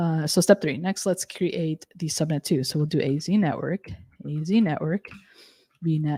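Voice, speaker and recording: A woman's very deep, low voice, dark and mellow, somewhat breathy, with ordinary pitch variation, dry with no echo, and a quiet background. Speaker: cloud technology instructor. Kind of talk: live technical tutorial. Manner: fast. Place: home room.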